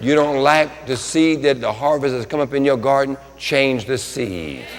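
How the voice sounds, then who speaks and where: Noticeable background noise sits behind a man's voice. He speaks at a moderate pace with a fairly high pitch and ordinary pitch variation. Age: 60s. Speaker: pastor. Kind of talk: sermon. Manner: animated.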